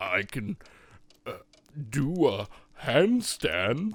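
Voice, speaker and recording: Using a put-on character voice, a man pitches himself fairly high. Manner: gruff, exasperated.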